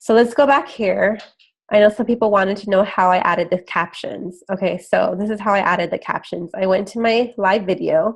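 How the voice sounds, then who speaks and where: At a fairly quick pace, a woman talks with a medium pitch and ordinary pitch variation. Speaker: health and fitness coach. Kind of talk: screen-share tutorial. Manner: casual, filler-heavy with 'like' and 'um'.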